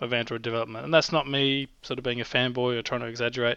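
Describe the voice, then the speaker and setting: This man talks at a very fast pace with an Australian accent. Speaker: app developer. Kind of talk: casual chat.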